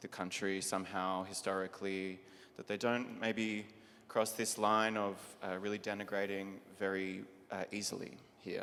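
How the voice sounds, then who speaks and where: Monotone and flat in intonation, a man with an Australian accent and fairly low pitch speaks at a moderate pace. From Australia (Melbourne). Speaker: drag performer, panelist. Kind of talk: panel discussion.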